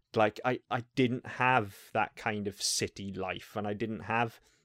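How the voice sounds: A man's fairly low, fairly bright voice on a very clean recording with a silent background.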